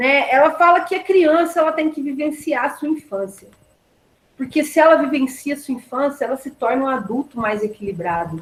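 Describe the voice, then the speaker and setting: This woman's voice sits at a high pitch. It moves in very wide pitch swings. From Brazil, southern Minas Gerais (Campo do Meio). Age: 20s. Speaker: university lecturer and course coordinator. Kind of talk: online class lecture. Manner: animated, conversational.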